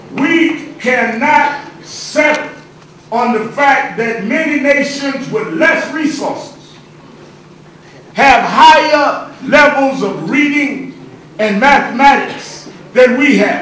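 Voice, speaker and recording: With noticeable background noise behind him, a man speaks at a very slow pace and an extremely high pitch. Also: ordinary pitch variation. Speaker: civil rights leader and minister giving a speech. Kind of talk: rousing public speech to lawmakers.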